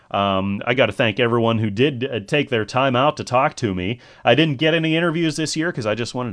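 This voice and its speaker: The speaker has a plain, everyday voice. Delivery is fairly quick, with lively intonation. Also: man. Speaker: podcast host. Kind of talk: casual solo podcast monologue. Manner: rambling, casual, chatty.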